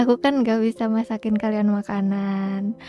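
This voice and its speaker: Music plays in the background as a soft-spoken woman talks very slowly. Her voice is fairly high, with ordinary pitch variation. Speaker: live streamer. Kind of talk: casual live stream talk to viewers.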